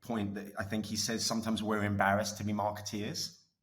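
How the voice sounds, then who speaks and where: A man with an Essex accent talks at a very fast pace and fairly low pitch, somewhat breathy. His intonation stays fairly even, and audible room echo surrounds the voice. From England, Essex. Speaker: media executive. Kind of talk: podcast interview. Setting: studio. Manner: casual, filler-heavy with many restarts.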